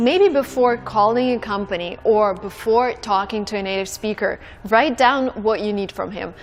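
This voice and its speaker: Music plays behind a woman speaking at a moderate pace. Her pitch is fairly high, with ordinary pitch variation. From Russia. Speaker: language teacher vlogger. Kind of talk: tutorial. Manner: casual.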